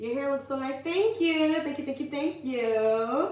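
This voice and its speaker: A woman with a New York accent speaks very slowly at a high pitch, her voice making very wide pitch swings over noticeable background noise. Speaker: livestreamer reading chat.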